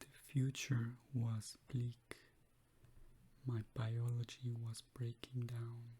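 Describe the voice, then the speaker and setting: A soft-spoken man talks very slowly in a calm tone at a medium pitch. His voice is somewhat breathy, with monotone, flat intonation. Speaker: clinical psychology grad student. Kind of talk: reading of a client's case testimonial. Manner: soft-spoken, calm.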